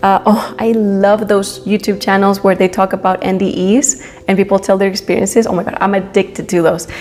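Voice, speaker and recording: A woman with a Spanish accent at a fairly quick pace, hardly any pauses and monotone, flat intonation, over noticeable background noise. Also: medium pitch for a woman. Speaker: spiritual youtuber. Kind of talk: casual monologue. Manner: halting, many fillers.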